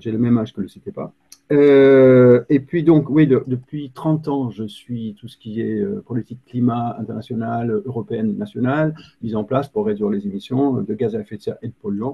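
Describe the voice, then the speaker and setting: A man speaks with a British accent. His loudness swings widely. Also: medium pitch for a man, ordinary pitch variation, moderate pace. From Britain. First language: English (speaking French). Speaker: climate policy expert. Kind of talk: webinar presentation. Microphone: too quiet, computer mic.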